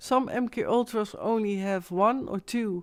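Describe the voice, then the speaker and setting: A woman with a Dutch accent speaks very slowly at medium pitch with ordinary pitch variation. The recording is very clean, with a silent background. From Netherlands. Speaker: live streamer. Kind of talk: live stream monologue. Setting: live stream at home. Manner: halting, searching for English words.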